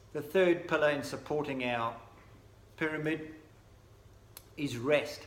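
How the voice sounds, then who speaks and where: In a room with audible echo, a man speaks at a fairly slow pace with fairly even intonation. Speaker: sports nutrition brand representative. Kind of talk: recorded presentation. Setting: pre-recorded video, not in person.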